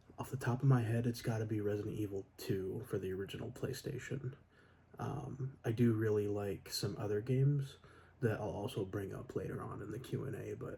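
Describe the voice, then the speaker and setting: A soft-spoken man at medium pitch, with a dark, mellow tone, vocal fry, ordinary pitch variation and a fairly quick pace. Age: 20s. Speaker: electronics repair technician. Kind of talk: ASMR Q&A, soft-spoken talk to camera.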